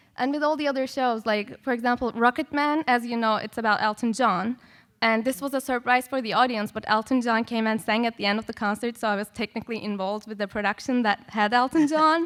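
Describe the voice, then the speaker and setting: A woman with a non-native accent, fairly high-pitched with ordinary pitch variation, at a very fast pace. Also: hardly any pauses. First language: not English. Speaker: composer and music educator. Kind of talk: panel discussion. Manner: casual, many filler words.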